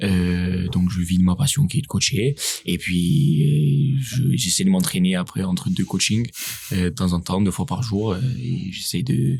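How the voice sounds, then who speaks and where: Over music in the background, a man with a very deep, low voice talks at a fairly slow pace, his pitch swinging very widely while his loudness stays very even. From Corsica, France. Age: 20s. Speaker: CrossFit coach and competitive athlete. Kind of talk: casual podcast interview.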